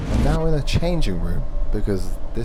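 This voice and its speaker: Over noticeable background noise and audible room echo, a man talks at a fairly quick pace. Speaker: YouTuber. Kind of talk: vlog narration. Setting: on a bus. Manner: whispering.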